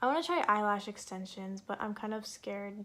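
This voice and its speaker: This woman is soft-spoken. Her pitch sits in the medium range. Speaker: beauty vlogger. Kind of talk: tutorial. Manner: casual, filler-heavy.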